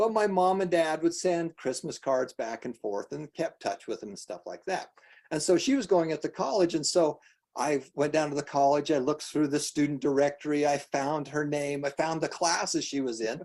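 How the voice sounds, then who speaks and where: Speaking in an ordinary speaking voice with an American accent, a man talks at a moderate pace and fairly high pitch, with ordinary pitch variation. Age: 60s. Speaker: nonprofit foundation host. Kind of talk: live online presentation.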